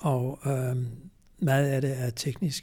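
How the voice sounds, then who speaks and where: Somewhat breathy, a man with a fairly high pitch speaks with a dark, mellow tone. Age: 80s+. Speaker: retired cardiologist and farming activist. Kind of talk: interview. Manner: hesitant, many filler sounds.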